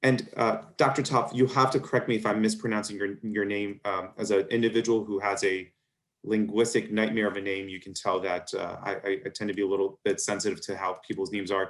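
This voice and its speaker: A man with an American accent and a fairly low pitch speaks at a fairly quick pace with fairly even intonation against a quiet background. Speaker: physician moderating a medical webinar. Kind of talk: webinar Q&A moderation.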